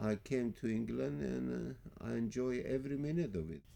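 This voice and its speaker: Talking at a moderate pace, a man with a Greek accent has a medium pitch and a dark, mellow tone. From Greece. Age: 80s+. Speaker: barber. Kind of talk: interview answer.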